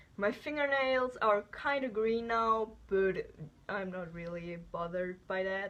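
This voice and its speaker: A woman speaks at a very slow pace. She has a non-native accent. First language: not English. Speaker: beauty vlogger. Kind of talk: product review. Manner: hesitant, with many fillers.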